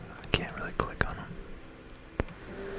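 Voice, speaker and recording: At a very slow pace, a whispered voice comes through noticeable background noise. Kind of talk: ASMR science explainer with software demo narration.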